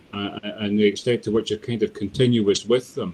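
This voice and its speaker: This man talks at a moderate pace, his medium pitch held in a fairly even intonation. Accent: Scottish. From Scotland, Dundee. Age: 50s. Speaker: poet. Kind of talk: interview. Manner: halting.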